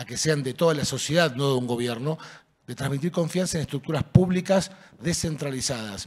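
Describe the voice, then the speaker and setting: Against a quiet background, a man with a somewhat breathy, fairly high voice speaks at a fairly quick pace with ordinary pitch variation. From Argentina, Buenos Aires. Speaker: city innovation director; panelist. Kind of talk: panel discussion. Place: stage. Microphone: handheld.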